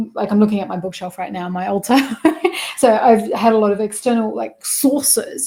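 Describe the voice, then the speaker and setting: There is noticeable background noise behind a woman with an Australian accent. Her pitch is fairly high, and her loudness swings a lot. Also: ordinary pitch variation, fairly quick pace. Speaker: spiritual mentor and success coach. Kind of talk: interview conversation.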